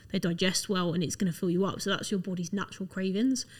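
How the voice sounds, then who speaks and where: The speaker talks at a very fast pace with fairly even intonation. The voice is somewhat breathy. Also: woman. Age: 20s. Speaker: fitness enthusiast. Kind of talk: casual chat.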